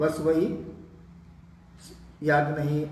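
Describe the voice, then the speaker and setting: A man speaks with audible room echo. Noticeable background noise runs behind him. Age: 70s. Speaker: spiritual teacher. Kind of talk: religious discourse answering questions.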